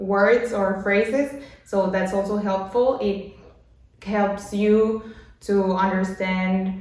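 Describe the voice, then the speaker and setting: In a Mexican accent, a woman speaks very slowly at a medium pitch with monotone, flat intonation, amid noticeable background noise and audible room echo. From Mexico. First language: Spanish. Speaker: language learning vlogger. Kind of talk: tutorial. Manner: halting.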